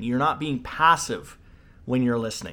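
Over a silent background in a very clean recording, a man speaks at medium pitch with an animated tone and lively intonation. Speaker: leadership coach. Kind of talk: solo educational talk. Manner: fast.

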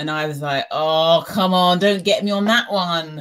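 A woman speaks with a British accent at a fairly low pitch. Her pitch varies in an ordinary way, and the recording is very clean with a silent background. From UK. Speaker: podcast guest. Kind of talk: casual conversation.

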